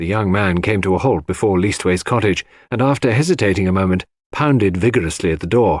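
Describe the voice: In a very clean recording with a silent background, a man with a low voice talks at a fairly quick pace and with lively intonation.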